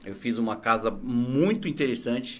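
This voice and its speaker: A man's normal speaking voice at a moderate pace, medium in pitch, with ordinary pitch variation. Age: 40s. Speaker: entrepreneur, picture installer. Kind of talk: interview.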